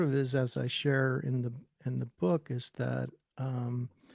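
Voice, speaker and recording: An unremarkable speaking voice from a man at medium pitch, fairly slow, with a dry, close sound and no echo. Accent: American. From Northern California. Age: 60s. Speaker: musician and author. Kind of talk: interview. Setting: podcast.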